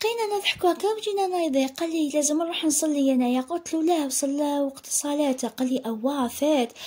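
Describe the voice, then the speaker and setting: Lively intonation in an Algerian accent, with very even loudness. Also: woman, hardly any pauses. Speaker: storytelling vlogger. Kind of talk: first-person storytelling. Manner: animated.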